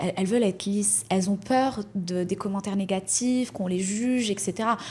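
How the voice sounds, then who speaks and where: Her intonation stays fairly even. The woman's voice has a somewhat breathy quality. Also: medium pitch for a woman, fairly quick pace. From Morocco. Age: 30s. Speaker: entrepreneur. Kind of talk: podcast interview.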